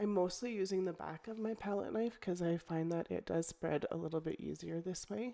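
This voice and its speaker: At a fairly quick pace with hardly any pauses, a woman speaks in a fairly low pitch with ordinary pitch variation and a dark, mellow tone. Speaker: papercraft video creator. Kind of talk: tutorial. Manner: casual, hesitant with fillers.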